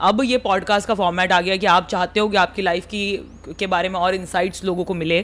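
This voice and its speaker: With an Indori accent, a woman talks at a moderate pace. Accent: Indori Hindi accent, also in her English. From India, Indore (Malwa region). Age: 30s. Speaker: comedian and content creator. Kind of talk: casual podcast interview. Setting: podcast studio.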